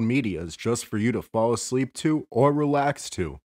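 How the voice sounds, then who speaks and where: Against a quiet background, a man speaks in a normal speaking voice with a medium pitch and ordinary pitch variation, in a dry, close sound with no echo. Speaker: radio-style host of sleep channel. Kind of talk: casual radio-style intro.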